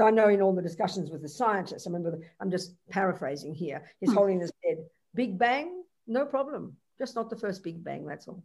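A woman with a normal speaking voice and medium pitch talks at a moderate pace, her loudness swinging widely. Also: lively intonation. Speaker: Buddhist nun teacher. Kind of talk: Dharma teaching with Q&A over interpreter. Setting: video call.

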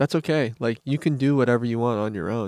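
On a very clean recording with a silent background, a man with an American accent speaks with lively intonation in a dry, close sound with no echo. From US Midwest, Kansas City, Missouri side. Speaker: podcast host. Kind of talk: casual chat.

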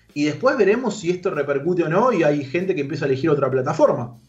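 Audible room echo surrounds a man with a Rioplatense accent who speaks at a very fast pace with hardly any pauses and ordinary pitch variation. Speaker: youtuber and esports manager. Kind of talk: radio interview.

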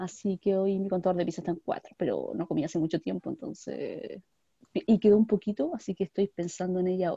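Very fast, somewhat breathy speech in a dark, mellow tone, with ordinary pitch variation and a dry, close sound with no echo over a quiet background. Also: woman, medium pitch for a woman. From Chile, Valparaíso region. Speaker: podcast co-host. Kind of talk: casual chat. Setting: video call.

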